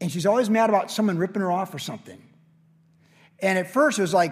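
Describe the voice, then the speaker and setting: Speaking at a fairly quick pace with a high pitch, a man leaves long, frequent pauses. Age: 50s. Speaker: pastor. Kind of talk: sermon. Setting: church.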